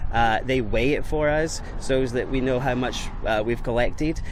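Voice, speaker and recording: With a Scottish accent, a man speaks at a medium pitch and a moderate pace in a flat monotone, amid noticeable background noise and audible room echo. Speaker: mail carrier. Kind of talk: radio interview. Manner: halting, many fillers and repeats.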